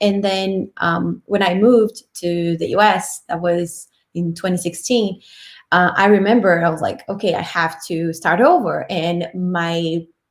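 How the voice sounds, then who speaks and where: With a Brazilian Portuguese accent, a woman speaks at a fairly slow pace. Her voice is fairly low in pitch, with fairly even intonation. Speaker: tech industry panelist. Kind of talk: panel discussion. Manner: halting.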